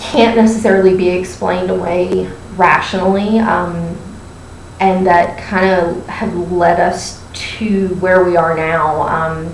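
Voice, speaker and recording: Someone with an American accent speaks at a very slow pace amid audible room echo and noticeable background noise. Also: woman. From Pennsylvania. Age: 30s. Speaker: university staff member, amateur paranormal investigator. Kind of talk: casual group audition interview. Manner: hesitant, many fillers.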